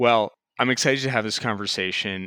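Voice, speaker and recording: In a very clean recording with a silent background and a dry, close sound with no echo, a man with an American accent speaks at a moderate pace in a fairly low pitch with a bright, sharp tone. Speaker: political analyst. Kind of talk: interview.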